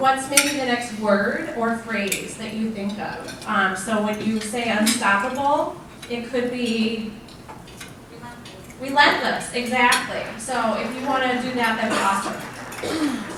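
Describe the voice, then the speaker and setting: At a very slow pace, a woman speaks with fairly even intonation and a fairly high pitch, with noticeable background noise and audible room echo. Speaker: leadership speaker. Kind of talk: keynote talk. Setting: event room with audience, on mic. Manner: loud.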